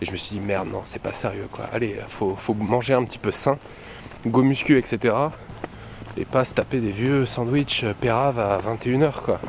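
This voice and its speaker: There is noticeable background noise behind the voice. A man speaks at medium pitch and a moderate pace. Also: ordinary pitch variation. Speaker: vlogger. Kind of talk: casual vlog talk. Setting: outdoors evening walk.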